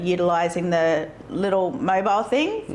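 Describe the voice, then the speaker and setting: Speaking in a rural Australian accent, a woman has a fairly low pitch and ordinary pitch variation. She talks at a fairly slow pace over noticeable background noise. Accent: country Australian. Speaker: local council candidate. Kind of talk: interview.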